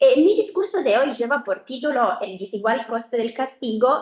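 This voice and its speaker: A woman talks at a moderate pace with an Italian accent. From Italy. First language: Italian (speaking Spanish). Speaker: researcher. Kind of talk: academic seminar presentation. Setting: university seminar with audience and remote viewers. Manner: hesitant, many fillers.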